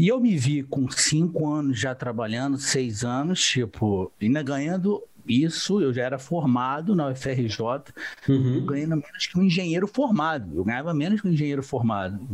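The speaker has a Rio de Janeiro accent. The intonation is lively. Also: man, fairly high pitch for a man, moderate pace. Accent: Carioca Brazilian Portuguese. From Rio de Janeiro, Brazil. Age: 30s. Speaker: entrepreneur, civil engineer turned online seller. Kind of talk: interview, casual chat.

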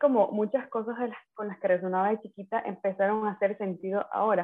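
In a plain, everyday voice, a woman talks at a fairly quick pace with a fairly high pitch. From Ecuador, coastal Manabí (Manta). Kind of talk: casual chat.

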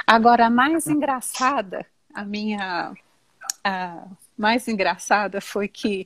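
A woman speaks at a very slow pace in a fairly high, somewhat breathy voice with ordinary pitch variation, the sound dry and close with no echo. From Brazil. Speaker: teacher. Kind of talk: casual chat.

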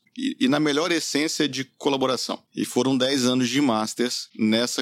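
The man speaks at a moderate pace. Vocal fry runs through his voice. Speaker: entrepreneur, company founder. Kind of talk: casual interview conversation. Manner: calm, relaxed.

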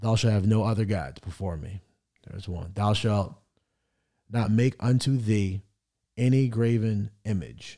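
A man speaks at a fairly slow pace with a fairly low pitch and a dark, mellow tone, pausing long and often. His pitch varies an ordinary amount, and the recording is very clean with a silent background. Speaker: podcast host, son of the other host. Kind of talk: casual conversation, podcast chat.

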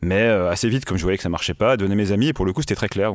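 Ordinary pitch variation marks a man speaking at a very fast pace. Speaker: comics writer and librarian. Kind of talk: testimony. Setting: studio. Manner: loud.

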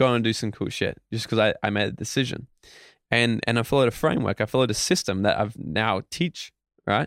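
In a very clean recording with a silent background, a man speaks with an Australian accent. He talks at a fairly quick pace with ordinary pitch variation. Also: medium pitch for a man. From Australia, Queensland. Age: 20s. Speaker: motivational speaker. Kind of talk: interview. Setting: studio. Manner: animated.

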